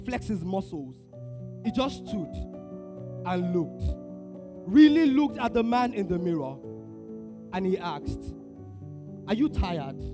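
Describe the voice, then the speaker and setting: With music in the background, a man's speech unfolds at a fairly slow pace. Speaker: spoken word poet performing at a men's conference. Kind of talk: spoken word poetry performance to a live audience. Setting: live conference stage with audience. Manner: intense, dramatic, with pauses, building to declarations.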